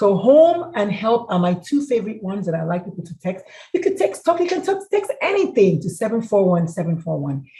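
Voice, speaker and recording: With noticeable background noise, a woman speaks in an animated tone at a fairly quick pace, her pitch swinging very widely and hardly any pauses breaking her speech. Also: medium pitch for a woman. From Nigeria. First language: a Nigerian language. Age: 50s. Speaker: mental health speaker. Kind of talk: presentation with Q&A.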